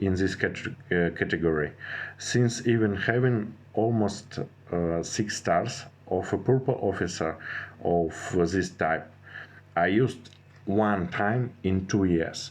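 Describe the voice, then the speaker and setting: Keeping a very even loudness, a man speaks at a fairly slow pace and fairly low pitch with ordinary pitch variation. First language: not English. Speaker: gaming strategy youtuber. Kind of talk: tutorial. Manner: halting, many fillers and restarts.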